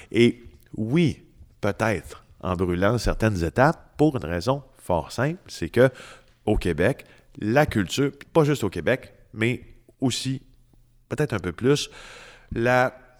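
Long, frequent pauses break up a man's very slow speech. His pitch is medium and his intonation lively. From Quebec, Témiscamingue. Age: 40s. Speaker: investigative journalist. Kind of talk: interview.

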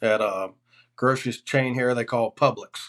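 A man with an American accent and a normal speaking voice talks at a moderate pace, fairly high in pitch with ordinary pitch variation. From Florida. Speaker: hunting outfitter. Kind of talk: casual chat.

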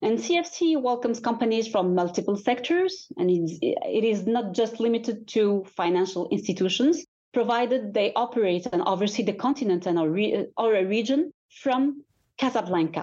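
A woman with a fairly high pitch speaks at a moderate pace in a dark, mellow tone. Her pitch swings very widely while her loudness stays very even. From Morocco. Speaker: finance executive. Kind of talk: interview.

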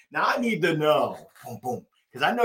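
Energetic in tone, a man moves at a fairly slow pace. His pitch makes very wide swings. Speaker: podcast host. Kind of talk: podcast interview.

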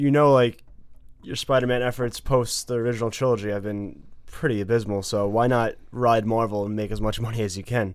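A man talks at a fairly quick pace and a medium pitch with ordinary pitch variation, in an unremarkable speaking voice. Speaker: podcast co-host. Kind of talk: casual banter podcast.

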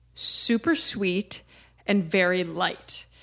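On a very clean recording with a silent background, a woman with a Midwestern accent speaks at medium pitch in a bright, sharp tone. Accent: American Midwestern. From rural Ohio, US Midwest.

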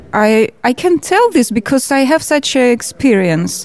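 A woman with a Russian accent speaks at a very slow pace with lively intonation. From Georgia. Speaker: filmmaker and political representative. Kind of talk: interview. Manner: halting.

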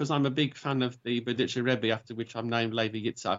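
In an English accent, a man speaks at a fairly quick pace with ordinary pitch variation. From England, Birmingham. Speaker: convert to Judaism. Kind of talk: interview. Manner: halting, with fillers.

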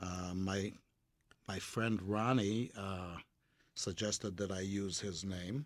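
Very slowly and with long, frequent pauses, a man speaks in fairly even intonation on a very clean recording with a silent background. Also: fairly low pitch for a man. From Israel. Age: 70s. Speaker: restaurateur guest. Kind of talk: radio interview.

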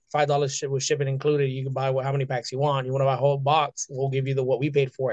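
Against a quiet background, a man talks in a fairly high pitch. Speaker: streamer guest. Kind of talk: casual chat interview. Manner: animated, high energy.

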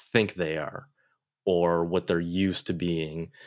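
In a Western New York accent, a man talks at a very slow pace with a very deep, low pitch and monotone, flat intonation on a very clean recording with a silent background. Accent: Western New York American. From Buffalo, New York, US. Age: 30s. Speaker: Korean adoptee guest. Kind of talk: interview.

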